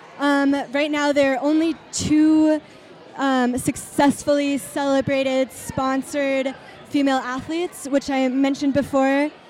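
A woman's high-pitched, monotone, flat delivery at a fairly slow pace, very even in loudness, with noticeable background noise. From Germany. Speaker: film festival organizer. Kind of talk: casual interview. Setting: live event venue.

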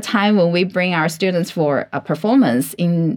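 Lively intonation at a fairly slow pace, with a Chinese accent. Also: woman. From China. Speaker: marketing director and working mother. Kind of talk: interview. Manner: halting with fillers and repeats.

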